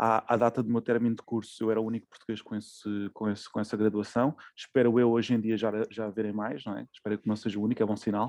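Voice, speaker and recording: The speech comes at a very fast pace in a monotone, flat intonation, with a dry, close sound and no echo. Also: man, medium pitch for a man. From Portugal, Cascais. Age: 30s. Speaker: chef. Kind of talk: casual interview. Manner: hesitant, many fillers.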